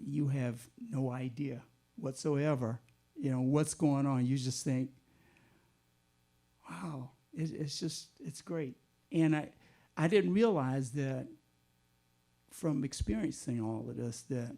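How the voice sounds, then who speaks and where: A man's very slow, dark, mellow voice at a medium pitch, with an American accent, ordinary pitch variation, and long, frequent pauses. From Southern United States. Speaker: jazz musician. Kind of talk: oral history interview answer.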